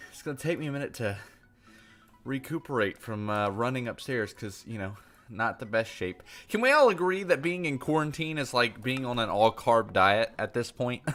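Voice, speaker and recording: A man speaks at a moderate pace and medium pitch, with lively intonation. His loudness swings widely, and music plays in the background. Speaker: gaming livestreamer. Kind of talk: livestream commentary.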